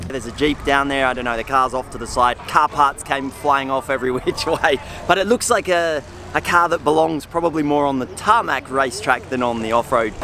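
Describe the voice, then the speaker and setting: The speaker moves at a fairly quick pace with ordinary pitch variation, in a dry sound with no echo and light background noise. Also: man. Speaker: travel vlogger. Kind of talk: casual vlog chat. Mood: amused, excited. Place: stadium. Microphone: phone near.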